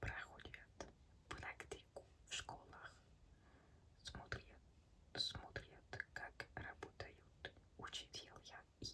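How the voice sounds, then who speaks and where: A woman whispering at a very slow pace. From France. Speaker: ASMR creator. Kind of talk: ASMR reading of language textbook. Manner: soft-spoken.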